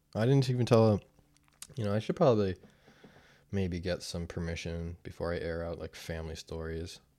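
A man with a very deep, low pitch and a dark, mellow tone speaks at a moderate pace, with ordinary pitch variation and long, frequent pauses. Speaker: sobriety video diarist. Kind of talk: casual monologue. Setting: wearing headphones, recording alone. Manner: frequent laughter.

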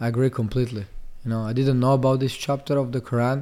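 A man with an Italian accent speaks in a dark, mellow, monotone voice with flat intonation, recorded very cleanly against a silent background. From Italy, Monfalcone near Venice. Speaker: fighter and MMA coach. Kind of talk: casual interview. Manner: halting, many fillers.

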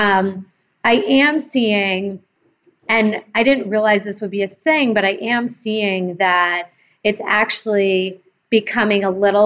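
This woman speaks at a very slow pace, with ordinary pitch variation. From Massachusetts, Cape Cod. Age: 40s. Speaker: entrepreneur. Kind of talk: interview.

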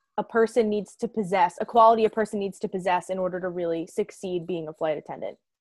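This woman has an unremarkable speaking voice at a medium pitch, with ordinary pitch variation and a fairly quick pace. The recording is very clean, dry and close, with no echo and a silent background. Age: 20s. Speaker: podcast host. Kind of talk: interview.

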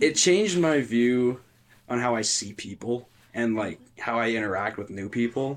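A plain, everyday voice from a man at medium pitch with ordinary pitch variation. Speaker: guitarist and studio engineer. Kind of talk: casual chat.

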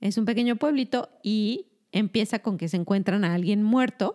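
On a very clean recording with a silent background, a woman with a dark, mellow tone speaks at medium pitch and a moderate pace with ordinary pitch variation, in a dry, close sound with no echo. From Mexico. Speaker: doctor. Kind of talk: casual chat.

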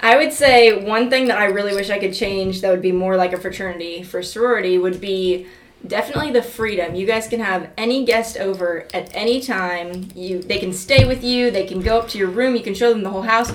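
Over noticeable background noise and audible room echo, a woman talks at a fairly quick pace with hardly any pauses, at medium pitch with ordinary pitch variation. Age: 20s. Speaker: college student, sorority member. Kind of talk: casual chat. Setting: home studio.

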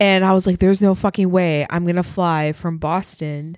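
A woman with a slight northern Midwest US accent speaks in a fairly low voice with fairly even intonation, recorded very cleanly against a silent background with a dry, close sound and no echo. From Wisconsin. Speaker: podcast co-host. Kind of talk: casual chat.

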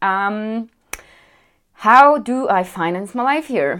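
Woman with a strong European accent, fairly high pitch, very wide pitch swings and a very slow pace, on a very clean recording with a silent background. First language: a European language, not English. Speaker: vlogger. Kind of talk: casual Q&A chat. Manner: chatty, lots of fillers.

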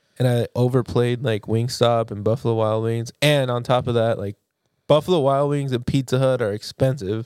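A man speaks at a medium pitch and moderate pace in an ordinary speaking voice. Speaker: podcast co-host. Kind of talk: casual chat.

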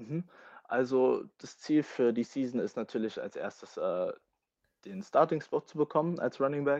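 A man talks at a fairly slow pace, the sound dry and close with no echo against a quiet background. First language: English (bilingual, American household) (speaking German). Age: 20s. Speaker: American football player. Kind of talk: interview.

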